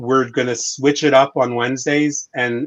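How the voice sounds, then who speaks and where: Speaking with a medium pitch, a man keeps a moderate tempo. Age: 60s. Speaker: podcast host. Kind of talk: round table discussion. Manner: halting, many repetitions.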